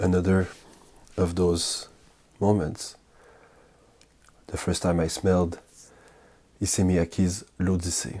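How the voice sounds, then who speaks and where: Soft-spoken, with a calm tone and a dark, mellow tone, the voice moves at a very slow pace in monotone, flat intonation, with long, frequent pauses. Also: man, very deep, low pitch for a man. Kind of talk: ASMR fragrance talk. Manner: calm, soft-spoken.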